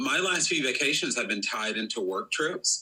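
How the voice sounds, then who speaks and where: In a North Carolina accent, a man talks at a fairly quick pace. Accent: Southern US (North Carolina). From US South, North Carolina. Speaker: PR firm co-founder. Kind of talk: podcast interview.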